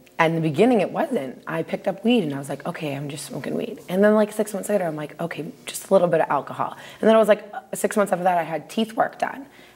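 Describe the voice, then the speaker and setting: Over noticeable background noise, a woman talks at a very fast pace in a medium pitch with lively intonation and big swings in loudness. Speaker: recovering addict sharing her story. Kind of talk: testimony.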